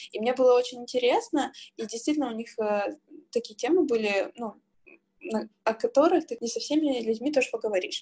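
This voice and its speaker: A woman with a high pitch speaks at a fairly quick pace. Her tone is dark and mellow, and her pitch variation is ordinary. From Siberia, Irkutsk region, Russia. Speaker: podcast co-host, sales manager. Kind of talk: casual chat.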